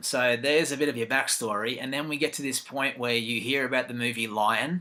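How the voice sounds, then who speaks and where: With an Australian accent, a man at a medium pitch speaks at a fairly quick pace in a bright, sharp tone with fairly even intonation. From Australia, Gold Coast. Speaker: interviewer. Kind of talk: interview.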